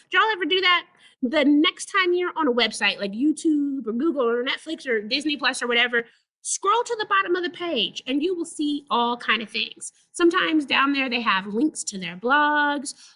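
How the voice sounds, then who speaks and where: In an American accent, a woman projects a raised voice at a moderate pace. Her high pitch swings very widely, and her tone is bright and sharp. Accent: Southern US accent, thick when excited. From Texas. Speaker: librarian presenter. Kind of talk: webinar presentation.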